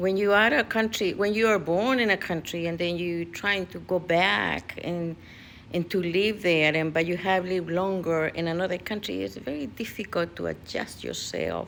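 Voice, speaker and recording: A woman with a non-native accent, a fairly low pitch and ordinary pitch variation. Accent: foreign accent in English. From USA, immigrant since teens. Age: 70s. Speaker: vlogger. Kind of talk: personal vlog monologue. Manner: halting, many fillers.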